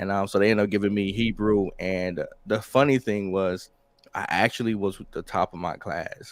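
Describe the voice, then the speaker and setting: At a moderate pace, a man with a Southern accent speaks in a fairly low pitch and fairly even intonation. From US South, Mississippi. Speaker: rapper and military veteran. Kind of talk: interview. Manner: halting.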